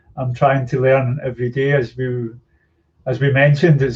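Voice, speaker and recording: A somewhat breathy man with a Scottish accent speaks at a moderate pace and a medium pitch. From Scotland. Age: 60s. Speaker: yoga teacher and activist. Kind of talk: podcast interview.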